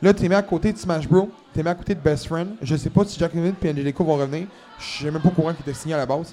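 Someone in a Quebec accent speaks at a very fast pace with ordinary pitch variation. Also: man, fairly high pitch for a man. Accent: Québécois French. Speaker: wrestling podcast host. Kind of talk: casual chat. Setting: recording at a convention.

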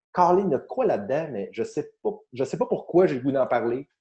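Somewhat breathy, a man with a Quebec accent speaks at a moderate pace. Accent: Québécois French. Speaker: comedian and podcast host. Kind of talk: casual chat.

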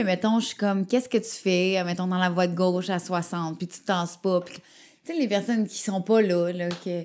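With a Quebec accent, a woman talks at a moderate pace and medium pitch, her intonation fairly even but her loudness swinging widely, on a very clean recording with a silent background. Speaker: radio host. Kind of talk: casual chat.

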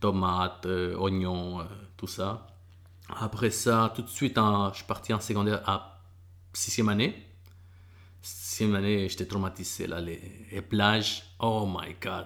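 Fairly slow and monotone, a man speaks with flat intonation and long, frequent pauses. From El Salvador, moved to Quebec at 11. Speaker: MMA fighter and bus driver. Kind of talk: casual interview.

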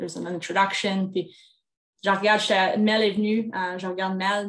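Her intonation flat and monotone, a woman talks at a medium speed. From Quebec, Rouyn-Noranda. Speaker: national women's hockey team general manager. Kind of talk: interview. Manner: halting.

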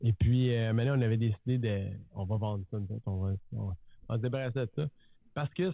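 A man with a fairly quick pace and medium pitch uses a plain, everyday voice, his pitch varying in an ordinary way. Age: 30s. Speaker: real estate entrepreneur and TV personality. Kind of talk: casual interview chat.

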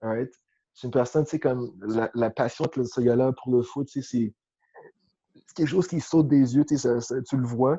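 Using long, frequent pauses, a man talks at a moderate pace in a medium pitch with fairly even intonation. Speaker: football coach. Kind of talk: interview.

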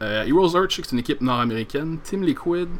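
In a Quebec accent, a man speaks at a fairly quick pace. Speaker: podcast host. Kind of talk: solo podcast monologue. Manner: halting, many repetitions and fillers.

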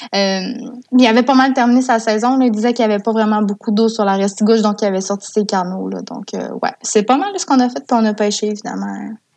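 Her pitch is fairly high and her intonation fairly even. The woman talks at a fairly quick pace with hardly any pauses. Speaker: communications coordinator for a salmon fishing federation. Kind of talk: casual interview chat.

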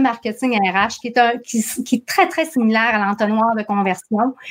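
Spoken with a Saguenay accent and ordinary pitch variation. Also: woman. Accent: Saguenay Quebec French. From Quebec, Saguenay-Lac-Saint-Jean. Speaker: entrepreneur, marketing and HR consultant. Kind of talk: interview. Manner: animated.

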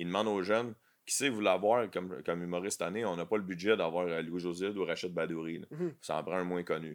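A man with a Quebec accent talks at a very fast pace in a very deep, low pitch. The recording is very clean, with a silent background. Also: ordinary pitch variation. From Quebec, south shore. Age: 40s. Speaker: comedian. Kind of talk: casual chat.

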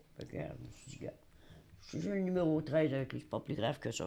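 A woman's very deep, low voice with vocal fry, lively intonation and a very fast pace. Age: old. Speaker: retired hospital switchboard operator, senior resident. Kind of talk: interview.

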